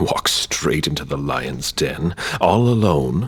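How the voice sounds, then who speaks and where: Putting on a character voice, a man speaks very deep and low at a fairly slow pace, with light background noise. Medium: video game.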